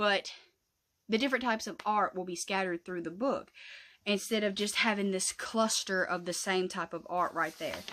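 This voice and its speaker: On a very clean recording with a silent background, a woman with a Southern US accent speaks in a bright, sharp tone at a medium pitch. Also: ordinary pitch variation, moderate pace. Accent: Southern US rural. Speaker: craft YouTuber. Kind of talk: casual tutorial vlog. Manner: rambling, chatty.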